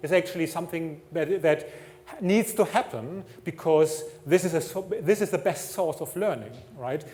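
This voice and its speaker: Speaking at a moderate pace with a German accent, a man with a high voice uses ordinary pitch variation over noticeable background noise. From Germany. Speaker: technology executive. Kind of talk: conference talk.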